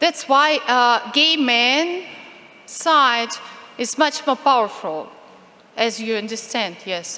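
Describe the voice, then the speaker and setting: Speaking very slowly with long, frequent pauses, a woman with a Ukrainian accent uses a high pitch. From Ukraine. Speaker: activist speaker on LGBT rights. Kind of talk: conference talk. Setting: conference stage with audience, interpreter. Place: hall. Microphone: podium.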